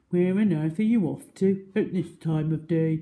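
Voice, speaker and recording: A woman's put-on character voice, fairly low in pitch, at a moderate pace. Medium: read story. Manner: kindly, easily alarmed.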